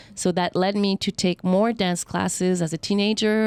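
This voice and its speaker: With a Quebec accent, a woman talks at a moderate pace and medium pitch, her intonation fairly even, in a dry, close recording with no echo that is very clean against a silent background. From Montreal, Quebec. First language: French. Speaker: dancer and acrobat. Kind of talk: interview.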